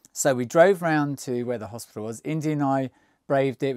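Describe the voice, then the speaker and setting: A man talks at a moderate pace. The recording is very clean, with a silent background and a dry, close sound with no echo. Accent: English. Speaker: travel vlogger. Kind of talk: casual storytelling to camera. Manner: mumbling; halting. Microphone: new microphone.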